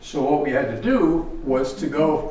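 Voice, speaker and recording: Speaking with an American accent, a man is heard in a room with audible echo. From Western New York; New York State. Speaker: retired land surveyor; guest lecturer. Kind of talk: lecture. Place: hall.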